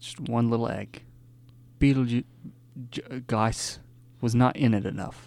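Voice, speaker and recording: At a fairly slow pace with long, frequent pauses, a man of medium pitch keeps fairly even intonation while his loudness swings widely. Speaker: podcast co-host. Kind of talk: casual chat.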